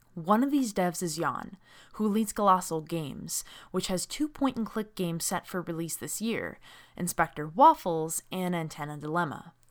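Recorded very cleanly against a silent background, a woman with an unremarkable speaking voice talks at a moderate pace in a medium pitch with lively intonation. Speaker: podcast host and games journalist. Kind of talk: scripted narration then casual panel discussion.

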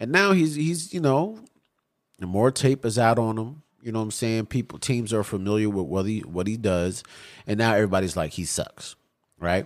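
A plain, everyday voice from a man at medium pitch, with lively intonation and a moderate pace. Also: very clean recording, silent background. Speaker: podcast co-host. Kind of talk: angry rant, fired-up sports talk.

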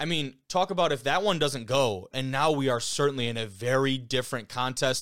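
In a very clean recording with a silent background, a man talks fairly quickly and with hardly any pauses, his medium-pitched voice animated and his pitch moving in an ordinary way. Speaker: podcast host. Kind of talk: sports commentary and analysis, with a ranting segment. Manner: animated, opinionated, casual; fast, conversational, swears freely.

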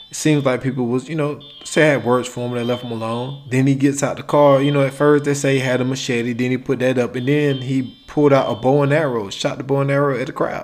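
A man's monotone, flat delivery with hardly any pauses, over noticeable background noise. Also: medium pitch for a man, fairly quick pace. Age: 30s. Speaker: podcast host. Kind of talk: solo monologue rant.

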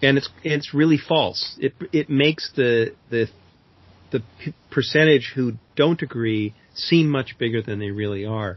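A plain, everyday voice belongs to a man with an American accent who speaks at a fairly slow pace, a medium pitch and ordinary pitch variation. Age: 60s. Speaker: climate author and speaker. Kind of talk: interview.

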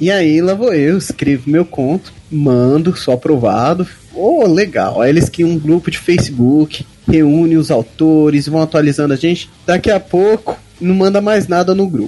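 A man's fairly high voice at a fairly slow pace, with ordinary pitch variation and noticeable background noise. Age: 20s. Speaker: fantasy author. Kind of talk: casual chat.

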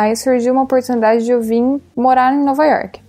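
A woman talking at a fairly quick pace over noticeable background noise. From Brazil. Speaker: art director. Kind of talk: casual interview chat. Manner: casual, filler-heavy (tipo).

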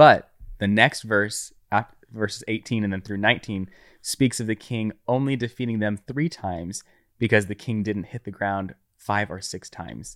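In a very clean recording with a silent background and a dry, close sound with no echo, a man with an unremarkable speaking voice talks at a moderate pace, with ordinary pitch variation and big swings in loudness. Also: fairly low pitch for a man. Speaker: guest friend. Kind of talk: casual conversational interview.

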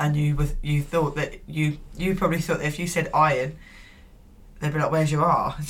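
A woman with an English accent talks at a fairly quick pace in a very deep, low pitch, her intonation monotone and flat and her loudness very even, over noticeable background noise. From England. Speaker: podcast co-host. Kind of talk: casual chat.

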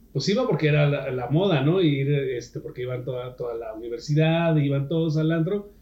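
Speaking at a moderate pace, a man with a fairly high pitch sounds somewhat breathy and uses ordinary pitch variation. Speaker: podcast co-host. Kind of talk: casual chat.

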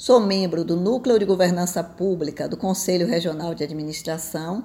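A woman speaks at a moderate pace in an ordinary speaking voice with a medium pitch. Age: 60s. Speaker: retired tax auditor and business mentor. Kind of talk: opinion commentary.

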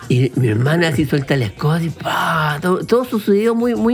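This man speaks at a very slow pace. His pitch swings very widely. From Chile, Viña del Mar/Valparaíso. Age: 40s. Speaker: podcast co-host. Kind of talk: casual chat. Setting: studio. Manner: animated.

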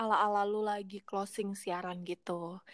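A woman's animated voice at a fairly slow pace, very cleanly recorded against a silent background, dry and close with no echo. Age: 20s. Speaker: podcast host. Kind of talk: casual chat.

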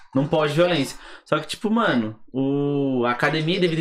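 A man with a normal speaking voice, fairly high pitch, ordinary pitch variation and a fairly quick pace. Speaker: podcast host. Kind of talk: casual chat.

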